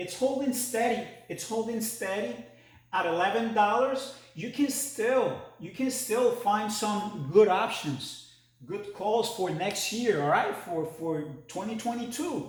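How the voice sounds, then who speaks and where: A man with a high pitch speaks at a fairly slow pace with lively intonation. Audible room echo is present. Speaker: stock market video host. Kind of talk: casual market commentary to camera. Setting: new home trading studio. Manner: halting, many repetitions and fillers.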